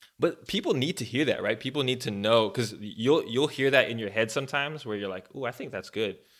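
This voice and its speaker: A man speaks in a plain, everyday voice at medium pitch, with ordinary pitch variation and a fairly quick pace with hardly any pauses. The recording is very clean, with a silent background. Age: 30s. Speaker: podcast co-host, campus minister. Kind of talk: casual chat.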